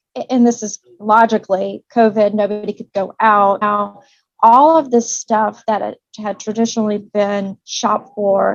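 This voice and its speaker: A woman with a Southern accent talks at a fairly slow pace in a fairly high pitch, her intonation fairly even and the sound dry and close with no echo. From Tennessee, Nashville. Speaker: commercial real estate broker. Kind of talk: interview.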